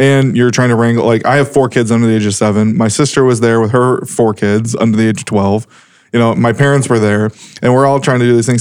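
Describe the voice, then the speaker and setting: With an ordinary speaking voice, a man at a medium pitch moves at a fairly quick pace with fairly even intonation. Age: 30s. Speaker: podcast co-host. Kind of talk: casual chat. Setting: studio.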